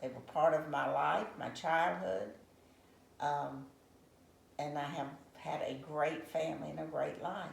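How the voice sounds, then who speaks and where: Long, frequent pauses mark the fairly slow speech of a woman with an American accent, heard with audible room echo. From Savannah, Georgia, US. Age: 80s+. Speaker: retired accountant, interviewee. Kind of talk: interview.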